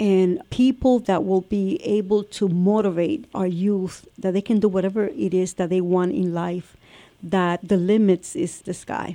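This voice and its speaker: With an American accent, a woman speaks at a fairly slow pace in a medium pitch, her tone dark and mellow and her pitch variation ordinary. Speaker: city council president. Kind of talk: casual interview chat.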